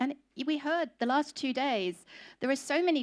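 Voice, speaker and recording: Speaking with an English accent, a woman keeps a moderate pace. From England. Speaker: conference speaker on food industry. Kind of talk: conference talk.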